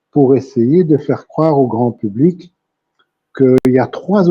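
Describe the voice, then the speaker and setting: Somewhat breathy, a man talks at a very slow pace with lively intonation. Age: 70s. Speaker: therapist. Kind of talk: interview.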